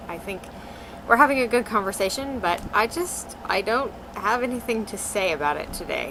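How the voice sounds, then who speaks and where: A woman's fairly quick, lively-toned speech against noticeable background noise. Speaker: vlogger. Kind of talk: casual talk to camera.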